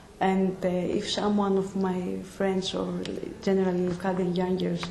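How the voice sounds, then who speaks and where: A woman with a Greek accent at a medium pitch and a moderate pace, in monotone, flat intonation, with audible room echo and noticeable background noise. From Greece. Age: 20s. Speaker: nursing student. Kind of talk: interview. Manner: halting.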